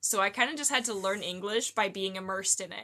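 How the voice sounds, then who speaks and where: Against a quiet background, a woman talks at a fairly quick pace in a medium pitch, with a bright, sharp tone and ordinary pitch variation. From Canada. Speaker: live streamer. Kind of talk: casual chat. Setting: live stream.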